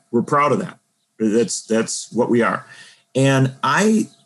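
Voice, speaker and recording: Lively intonation marks a plain, everyday voice with an American accent. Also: man. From Wisconsin, around Milwaukee. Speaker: political journalist and author. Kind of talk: interview on politics.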